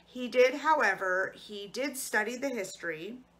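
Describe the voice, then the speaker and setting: A woman speaks in a bright, sharp tone. Her pitch varies in an ordinary way. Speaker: librarian or storyteller. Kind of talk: educational talk and read-aloud. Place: home room. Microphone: phone near.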